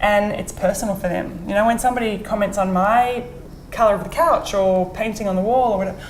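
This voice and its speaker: A woman with an Australian accent talks at a very fast pace, with noticeable background noise and audible room echo. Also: medium pitch for a woman. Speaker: real estate agent. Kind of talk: interview. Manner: halting, repeats words.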